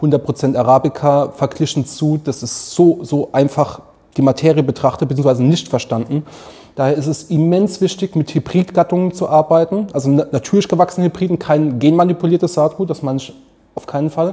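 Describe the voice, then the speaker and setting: This man's voice sits fairly high. He talks fairly quickly. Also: ordinary pitch variation. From Mannheim, south-western Germany. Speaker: coffee roaster and café owner. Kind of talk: casual interview. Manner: animated.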